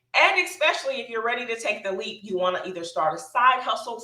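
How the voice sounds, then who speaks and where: Speaking at a fairly quick pace, a woman is heard through noticeable background noise and audible room echo. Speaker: public health business consultant and mentor. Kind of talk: live webinar presentation. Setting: livestream with chat and screen share. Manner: fast.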